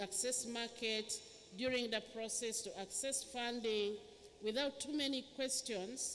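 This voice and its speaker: A woman speaks fairly slowly in a high pitch with ordinary variation, and noticeable background noise is present. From Uganda. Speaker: government minister. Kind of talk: speech.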